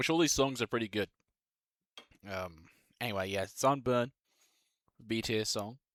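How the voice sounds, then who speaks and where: With an Australian accent and a medium pitch, a man talks at a moderate pace, leaving long, frequent pauses. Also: ordinary pitch variation. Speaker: music YouTuber, bass player. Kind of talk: casual tier-list commentary. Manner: casual, filler-heavy.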